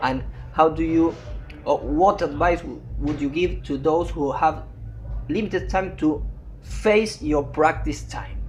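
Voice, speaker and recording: A man with a Spanish accent at a fairly slow pace, long and frequent pauses, music in the background. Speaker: interpreter and interviewer. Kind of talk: interview.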